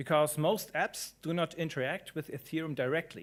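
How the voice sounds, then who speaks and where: A man with a strong German accent, in a very clean recording with a silent background. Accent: thick German. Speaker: conference speaker, blockchain developer. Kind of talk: conference talk.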